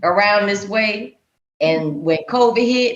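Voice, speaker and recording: A woman's very slow speech with a Southern US accent and lively intonation, with audible room echo. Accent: Southern US (Georgia). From Georgia. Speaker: podcast host. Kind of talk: casual chat. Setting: video call.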